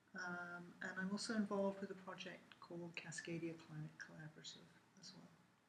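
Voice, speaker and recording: Speaking at a fairly quick pace with an English accent, a woman shows big swings in loudness. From England. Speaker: university lecturer. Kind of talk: interview. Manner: hesitant, many fillers.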